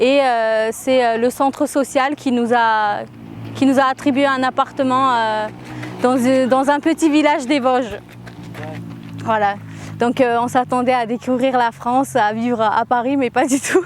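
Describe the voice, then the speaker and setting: With an Armenian accent, a woman talks at a fairly slow pace and a high pitch, her loudness very even and her intonation fairly even, taking long, frequent pauses against noticeable background noise. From Russia, Armenian family. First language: Armenian (speaking French). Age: 20s. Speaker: interviewee in a portrait, aspiring journalist. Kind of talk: personal testimony. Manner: hesitant, many fillers.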